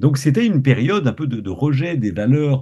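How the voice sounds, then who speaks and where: A man's medium-pitched voice, dark and mellow in tone, somewhat breathy, with lively intonation. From Quebec. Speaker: science communicator. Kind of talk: interview.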